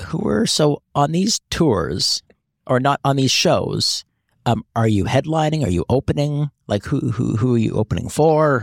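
In a plain, everyday voice, a man talks at a fairly slow pace with lively intonation and fairly high pitch, the sound dry and close with no echo. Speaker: podcast co-host. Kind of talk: casual chat. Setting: studio.

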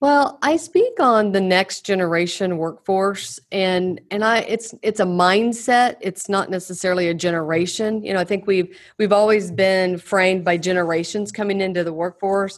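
Using a plain, everyday voice, a woman speaks at a moderate pace and medium pitch with ordinary pitch variation and hardly any pauses. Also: quiet background. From Oklahoma. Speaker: executive coach and consultant. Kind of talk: interview.

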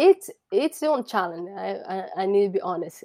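The voice carries a Brazilian Portuguese accent at a moderate pace. The sound is dry and close with no echo, in a very clean recording with a silent background. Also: woman. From Brazil, Sao Paulo. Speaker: soccer referee. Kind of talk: interview. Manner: halting.

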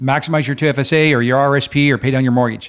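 At a very fast pace, a man speaks at a medium pitch on a very clean recording with a silent background. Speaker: club founder and president. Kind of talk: casual interview chat. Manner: fast talker.

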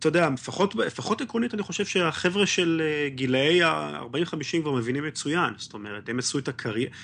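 A man's voice swings very widely in pitch. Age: 30s. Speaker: history podcaster and electronics engineer. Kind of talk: casual interview chat.

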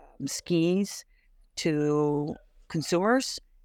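A woman with an American accent speaks in a very deep, low voice with ordinary pitch variation, the sound dry and close with no echo in a very clean recording against a silent background. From US Midwest, Barrington, Illinois. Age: 60s. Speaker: business owner. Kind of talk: interview.

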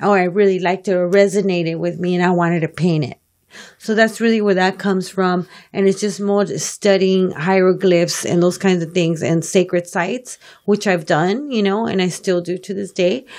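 Her intonation stays fairly even at a moderate pace. The woman speaks in a medium pitch with an American accent. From South Los Angeles. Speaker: painter and muralist, art educator. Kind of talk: interview. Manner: halting.

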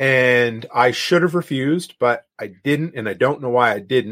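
A man speaks in a plain, everyday voice at a medium pitch, with ordinary pitch variation and a fairly slow pace. The recording is very clean, with a silent background. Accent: Canadian. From Canadian prairies. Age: 40s. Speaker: handyman and podcaster. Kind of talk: casual interview chat.

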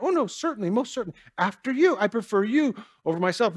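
A squeaky, put-on character voice, fairly high in pitch and delivered at a very fast pace. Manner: polite, overly courteous.

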